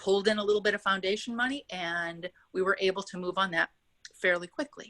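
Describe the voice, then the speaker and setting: Her voice bright and sharp in tone, a woman talks at a fairly quick pace in a dry, close sound with no echo. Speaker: housing developer. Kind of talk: webinar presentation. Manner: fast.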